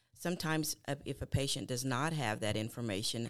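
Talking at a very fast pace with ordinary pitch variation, a woman with an East Texas accent is heard in a very clean recording with a silent background. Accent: East Texas Southern. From East Texas (Newton). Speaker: medical billing manager. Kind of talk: explanatory discussion.

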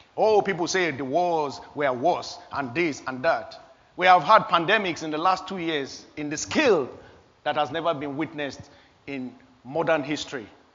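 At a moderate pace and with ordinary pitch variation, the speaker talks amid audible room echo. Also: man, fairly high pitch for a man. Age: 50s. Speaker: pastor. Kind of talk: sermon.

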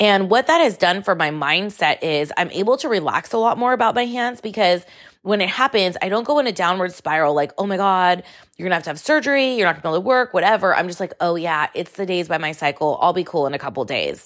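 Over a silent background in a very clean recording, a woman with a medium pitch talks at a very fast pace in an animated tone with lively intonation. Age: 40s. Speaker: podcast host. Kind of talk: casual monologue.

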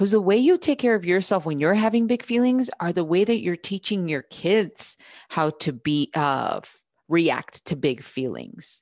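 A woman with an American accent speaks at a fairly slow pace and fairly low pitch, her voice moving in very wide pitch swings. The sound is dry and close with no echo, over a quiet background. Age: 30s. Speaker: podcast host and mom coach. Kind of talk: solo podcast talk. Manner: casual, animated.

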